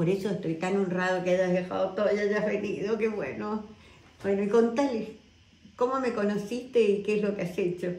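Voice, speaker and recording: Audible room echo surrounds a woman of medium pitch who speaks at a moderate pace with fairly even intonation. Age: old. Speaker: wellness guide. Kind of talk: casual talk to camera. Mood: warm, grateful, earnest. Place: home room. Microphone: phone near.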